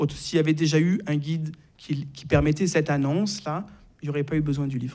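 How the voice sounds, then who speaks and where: With a Marseille accent, a man speaks at a moderate pace in a fairly high pitch, his intonation fairly even. His voice is somewhat breathy with a dark, mellow tone. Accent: French accent from Marseille. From southern France, Marseille. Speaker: psychiatrist and author. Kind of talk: interview. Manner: hesitant, many filler sounds.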